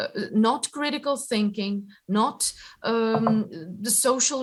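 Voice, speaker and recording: A woman with a Ukrainian accent speaks with ordinary pitch variation. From Ukraine. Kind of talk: interview answer.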